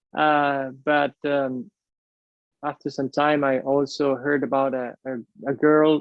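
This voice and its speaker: Speaking in a Spanish accent, a man with a fairly high pitch delivers his words at a very slow pace in a monotone, flat intonation. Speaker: airline pilot, UFO researcher. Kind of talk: interview conversation. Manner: hesitant, many fillers and repeats.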